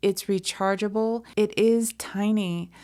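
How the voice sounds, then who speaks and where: A soft-spoken woman's medium-pitched, dark and mellow voice, fairly slow and fairly even in intonation, in a very clean recording with a silent background. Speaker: fiber artist and crochet video maker. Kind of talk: casual vlog and tutorial. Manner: soft-spoken, mellow.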